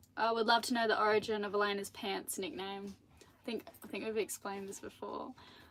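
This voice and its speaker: A woman with an Australian accent at a fairly quick pace, with ordinary pitch variation. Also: fairly high pitch for a woman. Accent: Australian, milder than partner's. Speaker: sailing vlogger. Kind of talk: live stream Q&A. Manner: animated.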